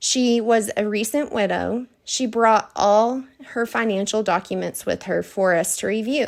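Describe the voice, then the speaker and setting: In a Texas accent, a woman talks at a fairly slow pace. Her fairly high voice keeps a fairly even intonation. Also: very clean recording, silent background. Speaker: financial advisor. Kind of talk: scripted presentation.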